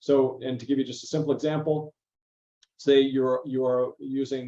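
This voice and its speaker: The man's voice carries a dark, mellow tone. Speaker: academic presenter. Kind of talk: presentation. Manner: fast.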